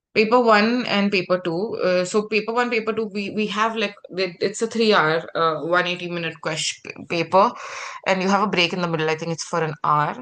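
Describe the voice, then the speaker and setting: Noticeable background noise behind a woman's speech, pitch varying in an ordinary way. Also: medium pitch for a woman. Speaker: medical exam tutor. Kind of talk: online lecture. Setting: live video session. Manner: fast; halting.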